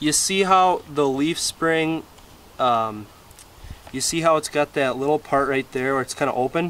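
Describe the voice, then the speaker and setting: Here is an unremarkable speaking voice with an American accent. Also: man, fairly high pitch for a man, ordinary pitch variation, fairly slow pace. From Wisconsin. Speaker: DIY mechanic video creator. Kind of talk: tutorial. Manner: casual, filler-heavy. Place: garden.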